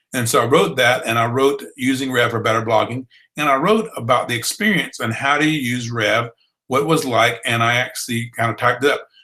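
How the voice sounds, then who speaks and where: Medium-pitched man with a bright, sharp tone, ordinary pitch variation and a Southern US accent. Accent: Southern accent, drawl. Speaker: blogging trainer. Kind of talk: online training webinar. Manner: conversational, with fillers.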